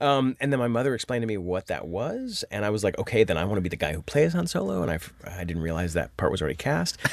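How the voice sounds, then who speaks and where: Over noticeable background noise, a man with a fairly low pitch talks at a very fast pace with lively intonation and hardly any pauses. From Indiana, US Midwest. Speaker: voice actor. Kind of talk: casual chat.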